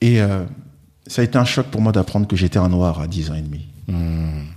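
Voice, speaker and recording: The pace here is moderate. It's a man with a dark, mellow tone. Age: 40s. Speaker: wealth management advisor. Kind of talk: interview.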